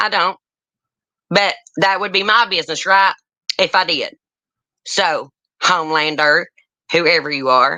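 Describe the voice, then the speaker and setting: A woman speaks at a medium pitch with a bright, sharp tone, ordinary pitch variation and an animated delivery. Her fairly slow pace is broken by long, frequent pauses. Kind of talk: casual chat. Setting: live stream panel.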